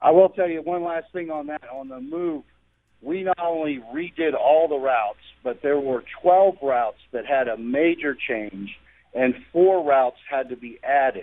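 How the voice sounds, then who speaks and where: With a normal speaking voice, a man talks at a fairly high pitch and a fairly slow pace, with ordinary pitch variation and big swings in loudness. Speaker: transit authority board member. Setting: phone call.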